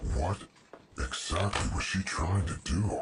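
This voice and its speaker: In a cartoonish character voice, a man talks very deep and low at a fairly slow pace with ordinary pitch variation. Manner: deadpan, dry.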